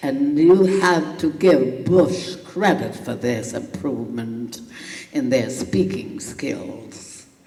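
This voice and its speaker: A woman speaks very slowly, her very deep, low voice swinging very widely in pitch. Noticeable background noise sits behind her. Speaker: political activist. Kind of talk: keynote speech.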